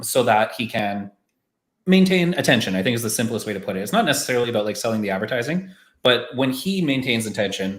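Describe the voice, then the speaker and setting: In a Canadian accent, a man talks at a very fast pace. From Canada. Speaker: marketing podcast host. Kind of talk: casual discussion on a live stream. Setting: live stream call.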